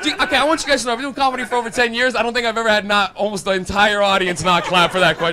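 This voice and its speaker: A man speaks in a raised, projected voice at a very fast pace, his pitch high. His pitch varies in an ordinary way against noticeable background noise. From Canada. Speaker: stand-up comedian. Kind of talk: stand-up. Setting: stage with audience. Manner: animated. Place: stage. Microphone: handheld.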